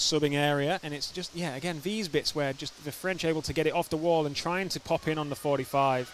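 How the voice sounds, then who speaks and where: Over noticeable background noise, a man with fairly high pitch and ordinary pitch variation talks at a fairly quick pace. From Yorkshire, northern England. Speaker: sports commentator. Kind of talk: live commentary.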